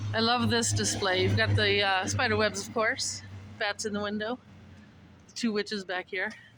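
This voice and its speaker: Someone mumbles at a moderate pace. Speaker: vlogger. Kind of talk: casual walking vlog narration. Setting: outdoors. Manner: mumbling.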